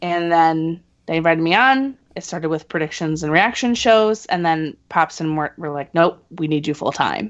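A woman with an ordinary speaking voice talks at a fairly low pitch. Her pace is moderate and her pitch variation ordinary. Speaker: wrestling fan. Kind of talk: casual chat.

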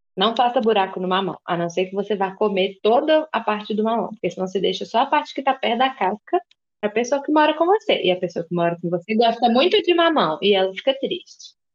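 Her fairly high pitch swinging very widely, a woman talks at a fairly quick pace with hardly any pauses. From interior of Minas Gerais, Brazil. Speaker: podcast co-host. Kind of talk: casual chat.

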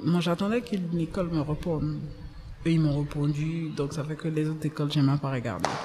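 A woman's very deep, low voice at a fairly quick pace, with ordinary pitch variation and audible room echo. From Côte d'Ivoire, Abidjan (Abobo). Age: young. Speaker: entrepreneur. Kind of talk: interview.

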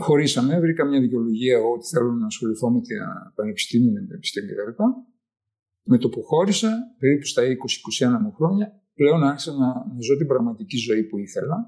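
A man's fairly high voice with a dark, mellow tone, very wide pitch swings and a moderate pace. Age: 70s. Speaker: retired neurologist-psychiatrist. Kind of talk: personal testimony.

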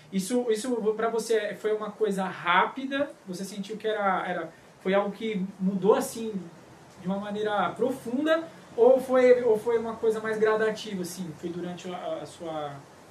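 A man with a high voice speaks at a moderate pace with ordinary pitch variation. Noticeable background noise can be heard. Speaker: podcast co-host, church music leader. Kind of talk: casual chat.

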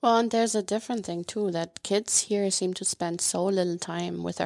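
Recorded very cleanly with a silent background and a dry, close sound without echo, a woman with a German accent speaks at a fairly quick pace. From Germany, city-raised. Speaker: former exchange student and host parent. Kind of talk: casual interview chat. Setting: studio.

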